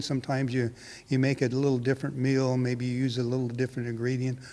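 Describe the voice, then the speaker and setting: Someone with a Californian accent speaks with fairly even intonation. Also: man. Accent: American (California). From California (Hanford, Central Valley). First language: Portuguese. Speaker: winemaker. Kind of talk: interview. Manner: halting, many fillers.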